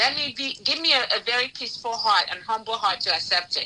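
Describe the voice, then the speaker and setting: Fairly high in pitch, a woman talks at a fairly quick pace with lively intonation amid noticeable background noise. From Africa (Nigeria). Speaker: pastor and relationship talk show host. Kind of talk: live talk show discussion. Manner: gets loud when emotional.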